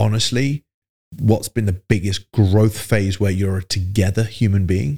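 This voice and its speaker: A man with a fairly low pitch sounds somewhat breathy, using ordinary pitch variation in a dry, close recording with no echo. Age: 40s. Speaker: fitness business coach. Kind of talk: casual interview.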